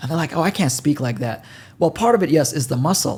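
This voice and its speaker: A man talks with a non-native accent. His pace is very fast. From developing country. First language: not English. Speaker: podcast host. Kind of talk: podcast interview.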